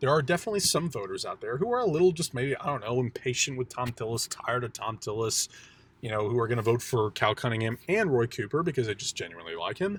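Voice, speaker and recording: A somewhat breathy man at a very fast pace and medium pitch, lively intonation, very clean recording, silent background. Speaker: political commentator YouTuber. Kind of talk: extemporaneous election analysis monologue. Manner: hesitant, many fillers.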